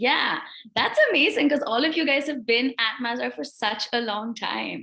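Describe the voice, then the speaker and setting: Her tone is bright and sharp, with lively intonation. This woman's pitch is high. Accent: American. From India and US. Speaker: English language teacher. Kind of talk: online English class. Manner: fast.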